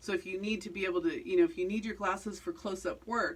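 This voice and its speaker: A woman with a medium-pitched, somewhat breathy voice swings her pitch very widely. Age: 60s. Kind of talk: tutorial. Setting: home studio. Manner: halting.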